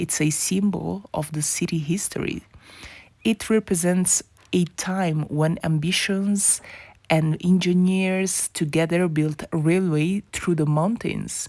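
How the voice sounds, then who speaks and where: A woman's dark, mellow tone with a non-native accent, fairly even intonation and a very slow pace. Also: fairly low pitch for a woman, very clean recording, silent background. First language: not English. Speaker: travel vlogger. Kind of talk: travel documentary narration.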